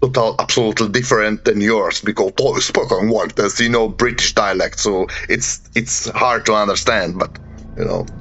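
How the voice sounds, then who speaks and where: A man with a Slovak accent speaks at medium pitch. There is noticeable background noise behind him. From Slovakia. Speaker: podcast host and paranormal investigator. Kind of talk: interview. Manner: halting.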